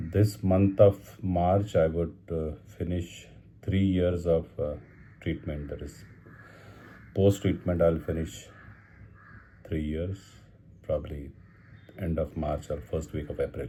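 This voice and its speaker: In a Marathi Indian accent, a man with a very deep, low pitch and a dark, mellow, somewhat breathy tone speaks at a very slow pace with long, frequent pauses and fairly even intonation. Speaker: cancer survivor vlogger. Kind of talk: personal video diary. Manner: halting, many fillers.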